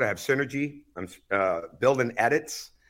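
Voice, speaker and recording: With an American accent, the voice has a bright, sharp tone and ordinary pitch variation in a very clean recording with a silent background. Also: man. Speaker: basketball coach. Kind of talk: interview. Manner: loud.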